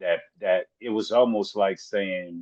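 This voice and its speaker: Very slow speech in an American accent, with a dry, close sound and no echo. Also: man. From US South. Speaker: rapper. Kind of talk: interview.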